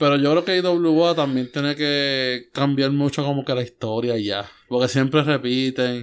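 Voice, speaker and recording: A man with an ordinary speaking voice talks at a fairly high pitch and fairly slow pace. His intonation is fairly even, with hardly any pauses. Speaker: wrestling podcast co-host. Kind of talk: casual chat.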